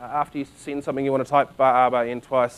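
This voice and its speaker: A man talks in a New Zealand accent. His pace is fairly quick. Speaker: conference speaker. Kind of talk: technical presentation. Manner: halting, many fillers.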